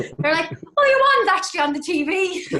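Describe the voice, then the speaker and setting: Through noticeable background noise, a woman speaks at a fairly quick pace with very wide pitch swings. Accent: Cork. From Cork, Ireland. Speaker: singer-songwriter. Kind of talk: podcast interview answer. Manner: casual, chatty.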